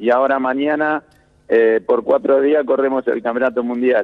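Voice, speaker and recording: A man with a plain, everyday voice and a fairly high pitch speaks at a fairly slow pace. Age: 30s. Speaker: Olympic sailor. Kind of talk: interview.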